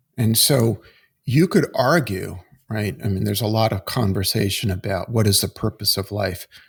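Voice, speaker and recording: In a very clean recording with a silent background, a man speaks in a fairly low, somewhat breathy voice. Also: ordinary pitch variation, moderate pace. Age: 60s. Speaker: executive coach. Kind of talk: podcast interview.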